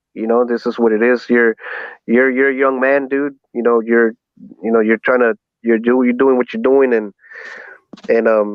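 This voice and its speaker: Speaking at a medium pitch with an American accent, a man delivers his words in a monotone, flat intonation broken by long, frequent pauses. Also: moderate pace. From Southern California, Los Angeles. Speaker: interview guest. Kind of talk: casual chat.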